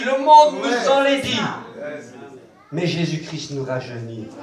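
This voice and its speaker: Speaking very slowly, a man is heard with audible room echo. There is noticeable background noise too. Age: 60s. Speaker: preacher. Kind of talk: sermon; prayer. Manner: animated.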